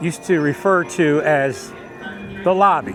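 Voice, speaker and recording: Music plays in the background as a man speaks. His intonation is lively and his pitch high. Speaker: theme park vlogger and host. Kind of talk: casual talk to camera, walkthrough narration. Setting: outdoors, walking through a theme park. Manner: relaxed, friendly, smooth.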